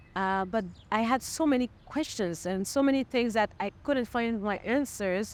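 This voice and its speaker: This woman speaks with a French accent. Her pitch is fairly high. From Montreal, Quebec. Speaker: singer-songwriter. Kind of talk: interview. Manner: halting.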